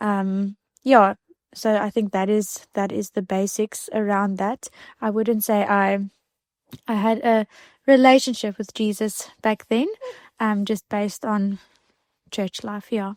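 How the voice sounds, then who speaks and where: With an Afrikaans accent, a woman at medium pitch speaks in a monotone, flat way at a fairly slow pace with long, frequent pauses, the sound dry and close with no echo. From South Africa, Klein Karoo. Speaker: podcast guest. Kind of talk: testimony.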